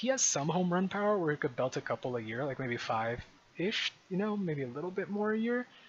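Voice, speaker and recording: Very wide pitch swings run through the speech of a man whose voice sits high. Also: fairly quick pace, hardly any pauses. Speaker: gaming video creator. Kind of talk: gameplay commentary. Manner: fast; casual.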